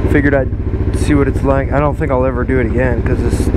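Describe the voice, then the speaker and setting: A man's very deep, low voice, very fast and monotone, with audible room echo and noticeable background noise. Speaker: motorcycle vlogger. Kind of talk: casual vlog monologue. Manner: halting, many fillers.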